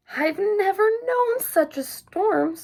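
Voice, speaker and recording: A woman speaks in a put-on character voice, squeaky and extremely high in pitch. Her intonation is lively. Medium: read story.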